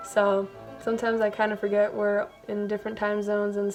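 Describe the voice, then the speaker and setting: A woman speaks at medium pitch and a fairly quick pace, with monotone, flat intonation. Noticeable background noise runs behind her. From Brazil. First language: Brazilian Portuguese. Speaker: amateur singer. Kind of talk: casual interview answers.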